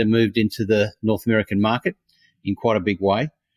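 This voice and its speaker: A man with an Australian accent talks at a fairly quick pace and fairly low pitch, on a very clean recording with a silent background and a dry, close sound lacking echo. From Australia, Brisbane. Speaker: innovation consultant. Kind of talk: interview. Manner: halting, many fillers.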